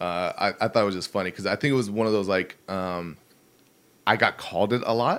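A man with an American accent and an ordinary speaking voice talks at a fairly low pitch and a fairly quick pace. His intonation is fairly even, and the recording is very clean with a silent background. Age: 20s. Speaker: internet personality. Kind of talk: casual chat. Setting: studio.

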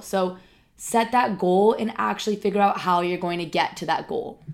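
With an ordinary speaking voice, a woman talks at a medium pitch and with fairly even intonation in a very clean recording with a silent background. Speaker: life coach podcaster. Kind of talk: motivational pep talk. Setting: solo podcast. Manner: earnest, conversational.

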